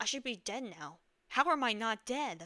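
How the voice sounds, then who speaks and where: A woman uses a put-on character voice that is raspy and fairly high. Her pitch swings very widely at a moderate pace. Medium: read story. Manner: bitter, sneering.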